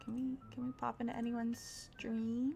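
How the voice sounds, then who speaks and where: A woman talks at a fairly slow pace while music plays in the background. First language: Spanish. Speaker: streamer and artist. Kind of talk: casual live stream chat. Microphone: further from the mic than usual, maybe quiet.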